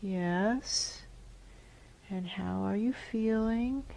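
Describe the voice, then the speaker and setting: Soft-spoken and calm in tone, a woman talks at a very slow pace. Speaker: hypnotherapist. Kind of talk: hypnotherapy session guiding a client. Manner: slow, calm, soft-spoken.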